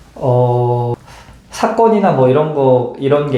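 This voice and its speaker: A man's medium-pitched voice stays fairly even in intonation while noticeable background noise plays behind it. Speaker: intensive care nurse. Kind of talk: interview answer.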